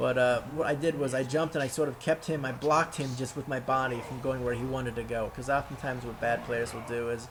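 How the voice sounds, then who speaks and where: Over noticeable background noise, a man speaks at a fairly quick pace. His pitch is medium and his intonation monotone and flat. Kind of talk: gameplay commentary. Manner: casual, profane.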